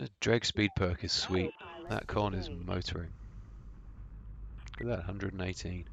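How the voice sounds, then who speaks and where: With a British accent, a man speaks at a moderate pace in a very deep, low pitch with ordinary pitch variation, long, frequent pauses and vocal fry. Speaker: gaming commentator. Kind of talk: gameplay commentary. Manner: casual.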